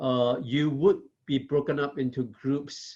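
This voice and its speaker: Here a man is speaking. He has a Southeast Asian accent. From Singapore. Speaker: professor. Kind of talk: lecture. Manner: frequent fillers and tag questions.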